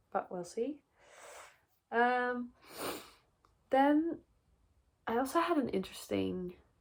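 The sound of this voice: A woman talks at a slow pace. Her pitch varies in an ordinary way.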